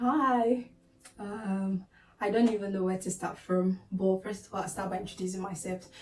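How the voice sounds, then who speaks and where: A woman with a Nigerian accent speaks with fairly even intonation over noticeable background noise. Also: medium pitch for a woman, moderate pace. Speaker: nursing student and vlogger. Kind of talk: casual talk to camera.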